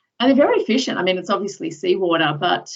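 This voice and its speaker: A woman speaks with an American accent. Her voice has vocal fry. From Australia, Sydney southern suburbs. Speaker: professor. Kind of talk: lecture. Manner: casual, with many fillers.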